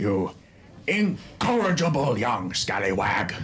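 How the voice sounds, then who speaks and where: Putting on a character voice at a fairly high pitch, a man speaks fairly slowly with very wide pitch swings over clear background noise. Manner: theatrical, fussy and proud.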